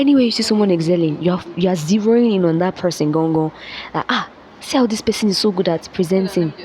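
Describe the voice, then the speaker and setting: A woman of medium pitch talks at a very fast pace with very even loudness and ordinary pitch variation. Noticeable background noise sits underneath. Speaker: vlogger. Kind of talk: motivational talk. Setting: classroom. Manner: casual.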